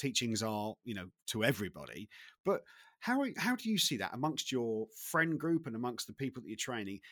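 A man with a British accent and medium pitch talks fairly quickly with lively intonation, on a very clean recording with a silent background. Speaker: podcast host. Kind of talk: podcast interview. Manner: halting.

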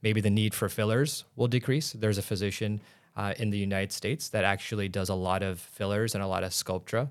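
Fairly quick speech from a man with a Midwestern American accent, fairly low in pitch, on a very clean recording with a silent background. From Illinois, US Midwest. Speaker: doctor and aesthetics businessman. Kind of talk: interview.

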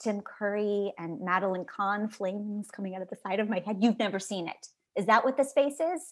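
Her voice is an unremarkable speaking voice, medium in pitch, with an American accent. The woman talks at a fairly quick pace with ordinary pitch variation. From US Midwest, Chicago suburbs. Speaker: actress. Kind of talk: casual chat. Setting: video call.

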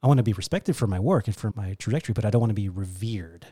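In a very clean recording with a silent background, a man with an American accent speaks very fast in a dark, mellow, somewhat breathy voice of medium pitch with ordinary pitch variation. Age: 40s. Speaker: wine expert and importer. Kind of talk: casual interview chat. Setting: studio.

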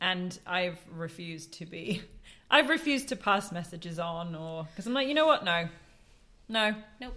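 Speaking at a moderate pace and medium pitch with an English accent, a woman has a bright, sharp tone, lively intonation, and big swings in loudness. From England. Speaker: podcast co-host. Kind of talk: casual chat about books.

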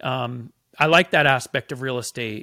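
In a very clean recording with a silent background, a man with a bright, sharp tone speaks fairly slowly with ordinary pitch variation. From small-town farming community. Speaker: entrepreneur. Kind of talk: casual chat.

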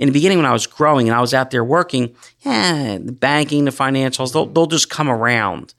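Recorded very cleanly against a silent background, an ordinary speaking voice with an American accent shows ordinary pitch variation. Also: man. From southern New Jersey, Gloucester County. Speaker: pest control business owner. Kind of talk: interview.

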